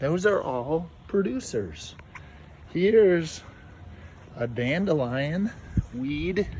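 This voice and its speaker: A man with a fairly high voice speaks at a very slow pace, his pitch swinging very widely, with long, frequent pauses and audible room echo. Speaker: teacher. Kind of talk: lesson for children. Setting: outdoors. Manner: soft-spoken.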